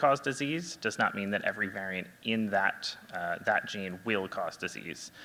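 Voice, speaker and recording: Soft-spoken, a man talks with a fairly low pitch and lively intonation in a bright, sharp tone. The recording is very clean with a silent background. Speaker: genetic counselor. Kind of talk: presentation. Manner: halting, many fillers.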